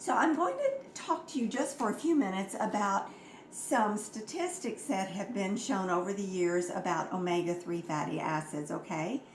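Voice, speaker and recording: Very wide pitch swings from a medium-pitched woman at a moderate pace, with audible room echo and noticeable background noise. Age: 70s. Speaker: health products distributor. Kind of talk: informal health talk.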